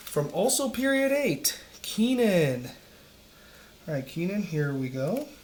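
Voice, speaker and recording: The speaker is soft-spoken and talks at a fairly slow pace over noticeable background noise. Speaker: teacher. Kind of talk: casual video commentary.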